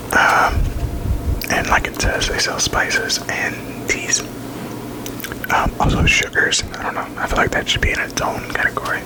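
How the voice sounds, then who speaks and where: Whispering with long, frequent pauses and noticeable background noise. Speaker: ASMR creator. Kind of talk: ASMR whisper ramble, casual talk to camera. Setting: close to a microphone, home recording. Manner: whispered, chatty, rambling.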